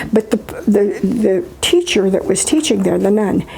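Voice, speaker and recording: A woman with an American accent speaks at a moderate pace and a medium pitch, with noticeable background noise. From US Midwest. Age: 80s+. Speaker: retired teacher. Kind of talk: interview. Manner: halting.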